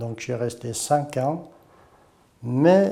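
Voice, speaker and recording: A man with a Portuguese accent, a dark, mellow tone and a very slow pace. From Portugal, Tortozendo. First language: Portuguese (speaking French). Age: 60s. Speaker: former slate quarry worker. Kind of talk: testimony.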